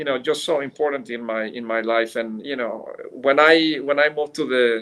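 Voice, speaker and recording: A man speaks with a Mexican accent. His voice is medium in pitch. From Mexico City, Mexico. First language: Spanish. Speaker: business executive. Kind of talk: interview. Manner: halting, many fillers.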